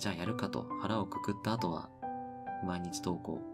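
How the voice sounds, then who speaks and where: Loud background noise runs through the clip. The speech moves at a moderate pace. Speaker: sleep content narrator. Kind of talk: sleep radio talk.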